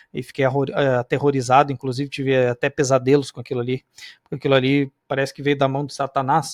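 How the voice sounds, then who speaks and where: The speech moves at a fairly quick pace. The sound is dry and close with no echo, over a quiet background. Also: man. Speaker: Bible study teacher. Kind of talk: lecture. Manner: fast; animated.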